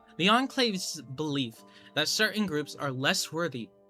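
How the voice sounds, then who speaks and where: A man's lively intonation and moderate pace are heard while music plays in the background. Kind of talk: video essay narration. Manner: quiet.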